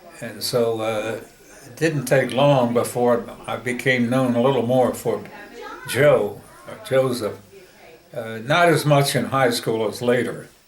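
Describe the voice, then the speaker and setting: Over noticeable background noise, a man speaks fairly slowly at a medium pitch, his intonation fairly even but his loudness swinging widely. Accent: American. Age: 80s+. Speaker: grandfather being interviewed by his daughter. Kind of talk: interview answer.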